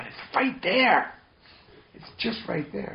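Noticeable background noise sits behind the speaker. He is a man with an American accent, talking at a moderate pace. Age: 40s. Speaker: meditation teacher. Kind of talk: dharma talk. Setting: meditation retreat.

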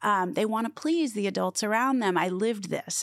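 A woman speaks fairly quickly with vocal fry at a medium pitch. Her pitch swings very widely. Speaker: former business executive. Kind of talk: interview.

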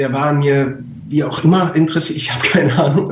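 A man with a fairly high voice talks at moderate speed against noticeable background noise. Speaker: voice actor and trained actor. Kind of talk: casual chat. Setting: live stream.

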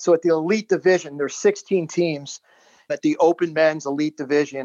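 A man speaks at a fairly high pitch with fairly even intonation in a normal speaking voice. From Baltimore, Maryland, US. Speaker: businessman and former lacrosse player. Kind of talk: interview storytelling.

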